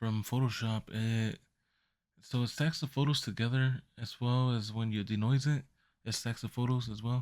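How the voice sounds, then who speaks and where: In a very clean recording with a silent background, a soft-spoken man talks at a moderate pace and a medium pitch, his intonation fairly even. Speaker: photography youtuber. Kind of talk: tutorial. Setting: at home at night. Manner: halting. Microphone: mic close to speaker.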